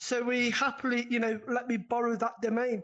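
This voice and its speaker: In a British accent, a woman with a fairly high pitch speaks at a moderate pace using monotone, flat intonation. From Britain. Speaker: online gaming community admin. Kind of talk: casual interview. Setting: VR live interview.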